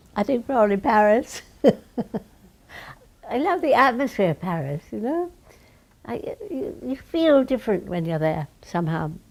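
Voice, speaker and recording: In a British accent, a woman talks at a moderate pace and fairly high pitch, with very wide pitch swings and long, frequent pauses. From London, England. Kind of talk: interview answer.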